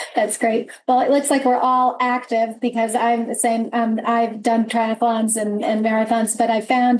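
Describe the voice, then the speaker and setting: A woman is speaking. Her voice sits high. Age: 60s. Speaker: business leader, panel moderator. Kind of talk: panel discussion.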